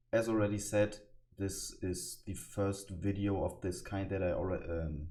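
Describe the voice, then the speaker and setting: Audible room echo surrounds a man's fairly low, dark, mellow, somewhat breathy voice. His intonation stays fairly even at a moderate pace. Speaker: youtuber explaining internet lore. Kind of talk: casual explainer monologue. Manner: hesitant, many fillers.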